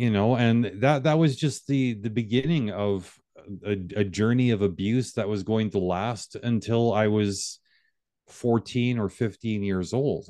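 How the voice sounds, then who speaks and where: At a fairly slow pace, a normal speaking voice comes through with ordinary pitch variation over a quiet background. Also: man, medium pitch for a man. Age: 50s. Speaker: reconciliation coach. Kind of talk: interview.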